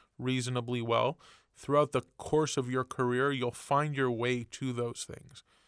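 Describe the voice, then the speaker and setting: A man with a Canadian accent speaks at a moderate pace in a medium pitch, his intonation flat and monotone, on a very clean recording with a silent background and a dry, close sound with no echo. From Montreal, Canada. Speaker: TV writer and executive producer. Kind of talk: interview. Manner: casual, relaxed.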